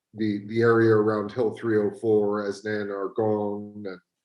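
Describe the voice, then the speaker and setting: Someone with an American accent talks at a moderate pace over a quiet background with audible room echo. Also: man. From United States. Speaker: audience member. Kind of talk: audience question. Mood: polite, curious. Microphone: video call.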